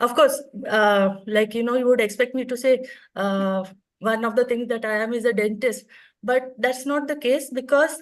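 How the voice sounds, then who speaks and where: A woman with a high pitch speaks at a moderate pace with fairly even intonation. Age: 60s. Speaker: retired orthodontist, speaker. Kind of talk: conference talk.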